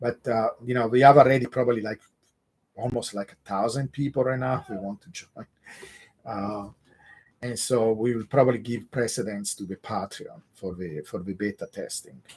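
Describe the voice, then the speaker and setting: A man with an Italian accent talks at a moderate pace and medium pitch, with ordinary pitch variation. His loudness swings widely, and the sound is dry and close with no echo. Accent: Italian accent, mistaken for Russian. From Italy (Genoa, southern Italian parents). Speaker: crypto analyst / YouTube host. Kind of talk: live stream Q&A. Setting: live stream with chat.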